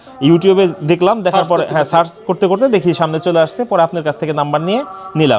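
Over noticeable background noise, a man talks in a high pitch with ordinary pitch variation. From Bangladesh, Faridpur (Padma char area). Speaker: small livestock farmer and customer. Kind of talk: casual interview, customer testimonial.

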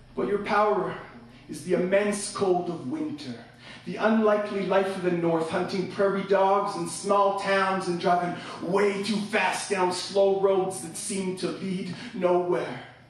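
Strong room echo surrounds a man who speaks fairly slowly at a high pitch with ordinary pitch variation. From Canada. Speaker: slam poet. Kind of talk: live slam poetry performance. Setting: live venue with audience. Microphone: camera far.

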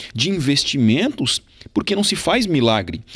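Here a man speaks at a fairly high pitch, with very wide swings in his pitch. Behind him the background is quiet. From Santa Catarina, Brazil (Turvo); Santa Catarina, Brazil. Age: 30s. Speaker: police chief and political candidate; candidate. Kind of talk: campaign interview. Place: studio. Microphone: handheld.

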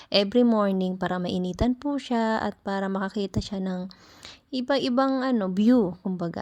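Over a quiet background, a soft-spoken woman talks at a moderate pace in a medium pitch with ordinary pitch variation. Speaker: caregiver and vlogger. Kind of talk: vlog voice-over.

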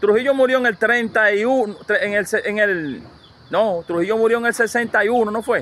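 A man with a high-pitched voice speaks at a very slow pace with ordinary pitch variation, the sound dry with no echo. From Dominican Republic. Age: 50s. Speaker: YouTuber interviewer. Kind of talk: casual interview. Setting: outdoors at a rural home. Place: farm.

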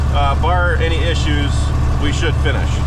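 A man speaks at a moderate pace. The sound is dry with no echo, but the background noise is loud. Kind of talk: casual vlog chat. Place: car. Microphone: camera far.

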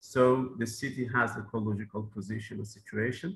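In a Persian accent, the speaker goes at a moderate pace with ordinary pitch variation over light background noise. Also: man. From southern Iran. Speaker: mayor; presenter. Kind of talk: conference presentation. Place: office. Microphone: video call.

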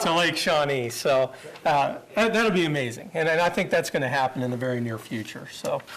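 Over noticeable background noise and audible room echo, a man talks with a Midwestern American accent. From Kansas (Great Bend). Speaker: parks and recreation official. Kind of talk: presentation to city council. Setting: public council meeting. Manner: fast.

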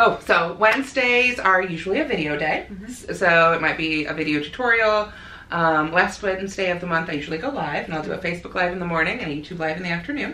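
A woman with a fairly low pitch speaks very fast with lively intonation, and room echo is audible. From US Midwest, rural northern Illinois. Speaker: crochet designer and blogger; blogger. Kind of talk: casual interview chat. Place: home room.

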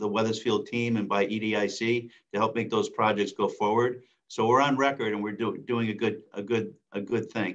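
Against a quiet background, a man talks at a moderate pace with monotone, flat intonation. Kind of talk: meeting report. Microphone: video call.

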